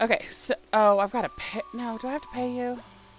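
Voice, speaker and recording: A woman with an American accent talks at a moderate pace in an animated tone. Noticeable background noise is present. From Appalachia. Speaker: pastor and game streamer. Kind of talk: casual livestream chat while gaming. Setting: live stream. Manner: animated, chatty.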